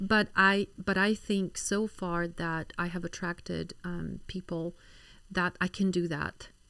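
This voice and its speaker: A woman's medium-pitched voice with fairly even intonation and a Polish accent. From Poland. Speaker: physician. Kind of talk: casual interview. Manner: hesitant, many fillers.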